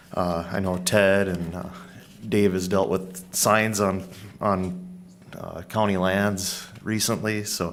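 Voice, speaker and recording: A man's very deep, low, monotone voice with flat intonation and an American accent, very slow, in audible room echo. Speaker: county staff presenting policy. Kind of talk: public meeting presentation. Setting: county board work session. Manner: loud.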